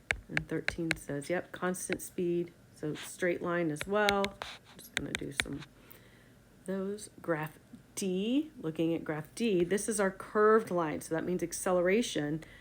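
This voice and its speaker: A woman's unremarkable speaking voice, fairly low-pitched, with ordinary pitch variation and a fairly slow pace. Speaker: science teacher. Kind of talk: tutorial.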